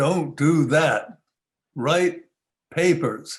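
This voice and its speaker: Putting on a booming character voice, a man speaks at a fairly high pitch. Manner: commanding.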